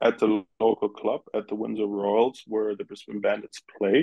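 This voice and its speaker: Monotone, flat intonation with a German accent. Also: man. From Germany. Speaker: former pro baseball player. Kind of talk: interview. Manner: casual, halting at times.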